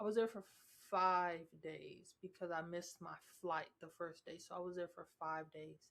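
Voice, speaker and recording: A woman's fairly low voice, flat and monotone, with big swings in loudness. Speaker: podcast host. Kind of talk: casual monologue. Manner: slow.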